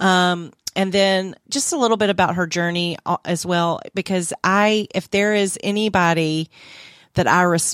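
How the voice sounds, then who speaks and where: In a very clean recording with a silent background and a dry, close sound with no echo, a woman speaks at a medium pitch with a Southern US accent and fairly even intonation. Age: 40s. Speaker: podcast host. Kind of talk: casual chat.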